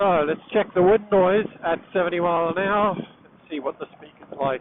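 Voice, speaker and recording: Over noticeable background noise, a man talks loudly at a high pitch and a moderate pace, with ordinary pitch variation. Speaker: motorcycle vlogger. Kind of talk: riding commentary to himself. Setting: riding a motorcycle outdoors in rain. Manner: animated.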